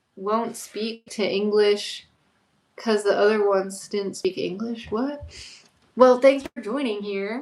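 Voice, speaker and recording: A woman talks with a Florida accent. Her pitch is fairly high, and her pace is fairly slow. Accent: American, Florida. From Florida, Orlando. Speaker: YouTuber, livestreamer. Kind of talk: casual livestream chat reading comments. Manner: casual, chatty with fillers.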